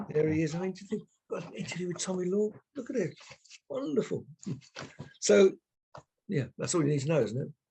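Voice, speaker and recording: A man with a high pitch and a dark, mellow tone speaks at a very fast pace, broken by long, frequent pauses. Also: lively intonation. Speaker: retired radio presenter. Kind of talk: casual chat. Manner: halting.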